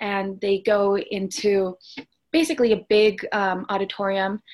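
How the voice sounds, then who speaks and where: With a normal speaking voice, a woman talks at medium pitch and with fairly even intonation. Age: 20s. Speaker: student and mental health educator. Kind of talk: interview.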